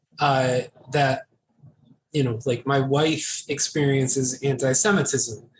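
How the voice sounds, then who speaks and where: The speaker has an American accent, a somewhat breathy sound and fairly even intonation. The pace is fairly slow, with long, frequent pauses. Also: man, medium pitch for a man. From United States. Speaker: podcast co-host. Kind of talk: casual chat. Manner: halting.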